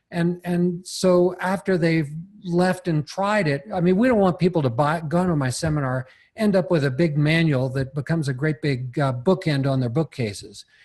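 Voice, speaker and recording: Against a quiet background, a man uses a plain, everyday voice at a fairly high pitch, with ordinary pitch variation and a moderate pace. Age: 60s. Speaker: seminar teacher on property leasing. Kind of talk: podcast interview.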